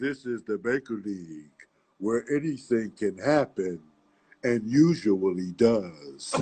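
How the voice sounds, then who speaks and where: Putting on a booming character voice, a man talks at a fairly slow pace with medium pitch and lively intonation. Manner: announcer-style catchphrase.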